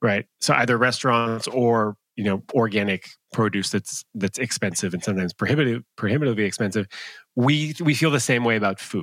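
In a plain, everyday voice, a man speaks at a fairly quick pace with a medium pitch and ordinary pitch variation, the very clean recording dry and close with no echo and a silent background. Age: 30s. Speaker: love coach. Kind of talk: casual chat.

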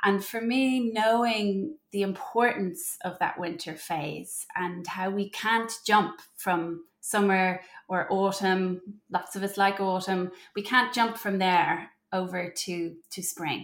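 Over a silent background in a very clean recording, a woman speaks with an Irish accent. Her medium pitch has ordinary variation, and her pace is very slow. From Ireland. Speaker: mother and postpartum doula. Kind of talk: interview conversation.

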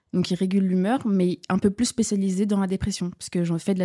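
Dry and close with no echo, a woman's dark, mellow voice at a medium pitch moves at a moderate pace. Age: 20s. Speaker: student. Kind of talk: casual chat.

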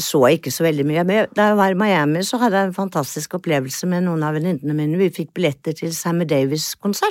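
A woman talks at a very fast pace with hardly any pauses, in a dry, close sound with no echo on a very clean recording with a silent background. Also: fairly low pitch for a woman, ordinary pitch variation. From Norway, Oslo. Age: 70s. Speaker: retired lawyer and former flight attendant. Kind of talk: interview, personal storytelling.

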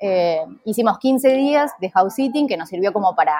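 A woman uses a normal speaking voice, talking at a fairly slow pace while her pitch varies in an ordinary way. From Argentina, Junín (Buenos Aires province). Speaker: travel content creator and house sitter. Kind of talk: interview.

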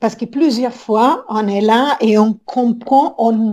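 A woman with an Italian accent speaks in a fairly high pitch with a dark, mellow tone. The recording is very clean, with a silent background. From Italy, Rome. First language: Italian (speaking French). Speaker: business consultant. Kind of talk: interview. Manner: halting.

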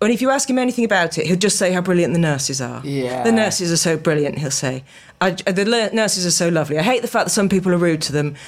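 Over noticeable background noise, a woman speaks very fast at a fairly low pitch with lively intonation. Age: 50s. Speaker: writer. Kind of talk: casual chat.

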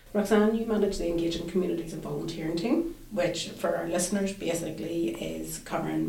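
A woman with a fairly low pitch speaks at a fairly quick pace. There is noticeable background noise. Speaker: podcast host. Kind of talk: casual chat.

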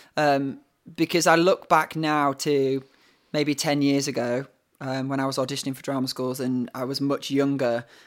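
At a moderate pace, a man with a northern English accent speaks at a fairly high pitch. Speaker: actor. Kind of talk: casual chat. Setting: video call.

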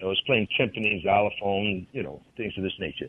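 A man with a Southern US accent, against noticeable background noise. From Mississippi (McComb). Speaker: blues musician. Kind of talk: interview.

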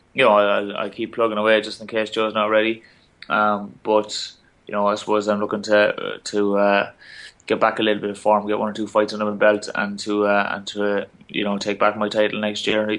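With an Irish accent, a man speaks at a fairly quick pace in a fairly low pitch. His intonation is monotone and flat, over a quiet background. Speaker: Olympic boxer and teacher. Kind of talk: interview. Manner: halting.

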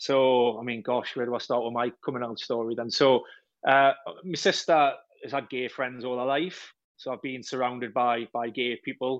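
A man's medium-pitched voice with a slight Geordie accent, monotone and flat, at a fairly quick pace against a quiet background. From Wallsend, Newcastle, north-east England. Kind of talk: casual radio interview.

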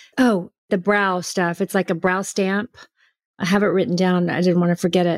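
A normal speaking voice from a woman with an American accent, medium in pitch, at a moderate pace with fairly even intonation, in a dry, close sound with no echo. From Houston, Texas. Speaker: brand founder. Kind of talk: casual interview chat.

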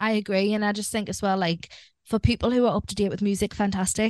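A woman talks at a very fast pace in an English accent, the sound dry and close with no echo. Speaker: podcast co-host. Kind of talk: casual chat. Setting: remote recording.

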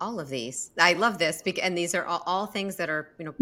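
Speaking very fast with a bright, sharp tone, a woman with fairly low pitch is heard in a very clean recording against a silent background. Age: 50s. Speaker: podcast host. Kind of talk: casual interview.

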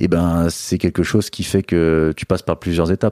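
A man speaks at a very deep, low pitch in a very clean recording with a silent background. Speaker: Instagram comedian. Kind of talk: casual interview.

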